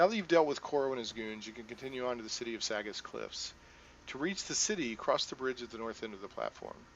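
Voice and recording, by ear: The speaker is reading aloud in a natural voice, the intonation lively throughout.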